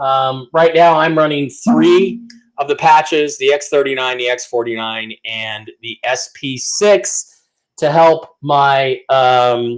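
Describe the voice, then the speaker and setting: A man speaks very slowly with a fairly high pitch and ordinary pitch variation. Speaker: online news show host. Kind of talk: sponsor plugs on live news show. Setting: live stream. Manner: loud. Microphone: too close to the mic, too hot.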